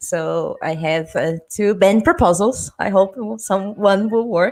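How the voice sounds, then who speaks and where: This woman speaks in a Portuguese accent at a very slow pace. Her medium pitch shows ordinary variation. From southern Brazil. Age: 30s. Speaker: panel moderator and punk festival organizer. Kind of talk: panel discussion.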